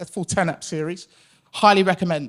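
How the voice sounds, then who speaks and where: Loud and at a fairly quick pace, a man with a British accent speaks in a high voice with ordinary pitch variation. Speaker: account director at a podcast company. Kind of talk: conference presentation. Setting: stage with audience. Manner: hesitant with fillers.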